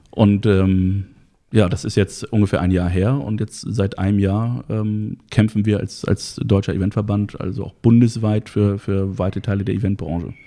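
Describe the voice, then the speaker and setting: A man talks at a moderate pace in a dark, mellow tone. His pitch is fairly low and his intonation fairly even. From Hamburg-Harburg, northern Germany. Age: 30s. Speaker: event technician and industry association founder. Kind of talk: interview. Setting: studio.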